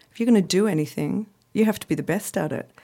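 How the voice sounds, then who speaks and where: A woman's dark, mellow tone at a fairly quick pace, in an Australian accent. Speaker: cocktail blogger and art director. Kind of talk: casual chat. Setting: studio.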